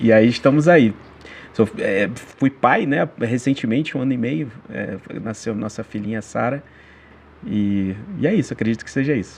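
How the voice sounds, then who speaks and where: With a Carioca accent, a man speaks at a moderate pace and medium pitch, using ordinary pitch variation and long, frequent pauses. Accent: Carioca accent, noticeable. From Rio de Janeiro, Brazil. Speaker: church member, neuroscience professor. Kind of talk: Bible study discussion. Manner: halting, many fillers.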